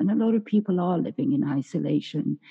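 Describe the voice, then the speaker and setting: Speaking at a fairly quick pace, a woman with a fairly low pitch uses vocal fry and very wide pitch swings. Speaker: podcast host. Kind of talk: interview, conversational. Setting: remote call.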